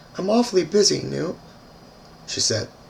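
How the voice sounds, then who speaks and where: Noticeable background noise behind a man speaking at a moderate speed. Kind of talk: short story reading.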